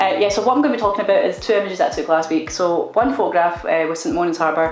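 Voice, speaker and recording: Speaking very fast with ordinary pitch variation, a woman with a Scottish accent is heard through noticeable background noise and audible room echo. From Scotland, Glasgow. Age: 30s. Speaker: photographer, vlogger. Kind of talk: casual vlog chat. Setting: studio.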